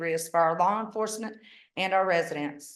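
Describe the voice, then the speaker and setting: A woman's speech moves at a fairly quick pace, and her pitch varies in an ordinary way. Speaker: public commenter at county meeting. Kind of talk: public comment. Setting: public meeting. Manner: fast.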